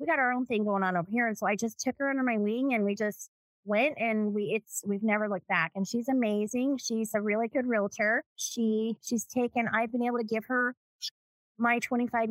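A woman speaks in a normal speaking voice at a fairly high pitch and a moderate pace. The sound is dry and close, with no echo. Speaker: real estate agent. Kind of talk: casual chat.

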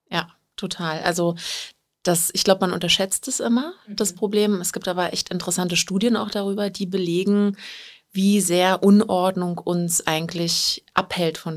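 Speaking with an unremarkable speaking voice, a woman keeps a moderate tempo, a fairly low pitch and fairly even intonation. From Berlin, Germany. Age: 30s. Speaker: professional organizer and coaching client. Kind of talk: interview. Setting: studio.

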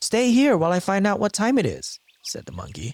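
A man's somewhat breathy voice at a moderate pace, in a dry, close sound with no echo. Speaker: podcast narrator. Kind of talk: scripted folklore storytelling narration, retelling a fable. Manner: measured storyteller pacing.

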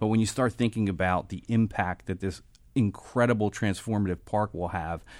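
On a very clean recording with a silent background, a man with a fairly low pitch and ordinary pitch variation has a plain, everyday voice. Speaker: waterfront development executive. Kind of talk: radio interview. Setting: studio.

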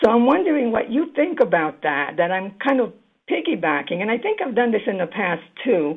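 A woman speaks at a medium pitch with big pitch swings and a slightly husky edge.

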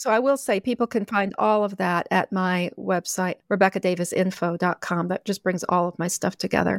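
On a very clean recording with a silent background and a dry, close sound with no echo, a woman in an ordinary speaking voice talks at medium pitch and moderate pace with fairly even intonation and hardly any pauses. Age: 60s. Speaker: author. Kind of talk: interview.

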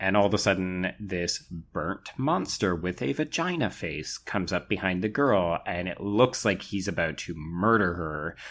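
A man with a very deep, low pitch and a Canadian accent, ordinary pitch variation, a moderate pace and hardly any pauses, in a very clean recording with a silent background. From Canada. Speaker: podcast co-host. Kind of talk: casual chat.

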